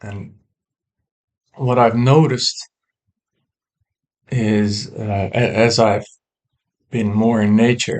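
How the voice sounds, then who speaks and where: A man's medium-pitched voice at a very slow pace, fairly even in intonation, with long, frequent pauses. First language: not English. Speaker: woodworker sharing personal philosophy. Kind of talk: personal monologue to camera. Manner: halting, many fillers; reflective, slow.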